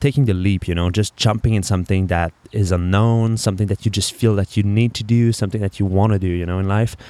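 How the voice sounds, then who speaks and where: Speaking with a French accent, a man has a fairly low voice with a dark, mellow tone. The sound is dry and close, with no echo. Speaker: podcast host, entrepreneur. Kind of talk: casual solo monologue.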